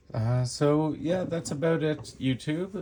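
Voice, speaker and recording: A man speaks at a very slow pace. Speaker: knife reviewer YouTuber. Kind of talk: product review. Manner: hesitant with awkward pauses.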